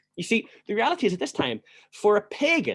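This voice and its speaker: This voice carries a Northern Irish accent at a moderate pace. The sound is dry and close, with no echo. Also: man. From Northern Ireland. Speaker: church history teacher. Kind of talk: lecture.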